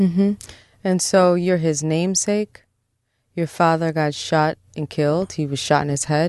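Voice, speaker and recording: Against a quiet background, a woman with an American accent and an unremarkable speaking voice talks at a fairly low pitch and a fairly slow pace, her intonation fairly even. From Brooklyn, New York (Park Slope). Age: 40s. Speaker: psychologist. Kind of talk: therapy-style interview. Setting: studio.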